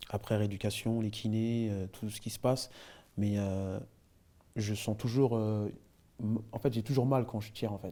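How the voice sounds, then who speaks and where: A man with a dark, mellow tone talks at a fairly slow pace in a monotone, flat intonation, with long, frequent pauses. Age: 30s. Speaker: former basketball player. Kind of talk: interview. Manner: hesitant, many fillers.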